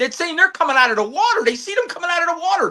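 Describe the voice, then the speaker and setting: An animated man with an extremely high pitch, very wide pitch swings, a bright, sharp tone and a raised, projected voice. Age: 50s. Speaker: retired detective. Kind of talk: casual chat.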